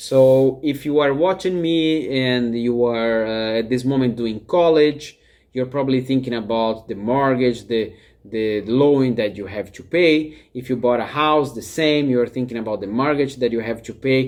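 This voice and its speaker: With a Brazilian accent, a man speaks at a moderate pace, his medium pitch showing ordinary variation. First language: Portuguese. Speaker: life coach. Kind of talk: talking-head vlog.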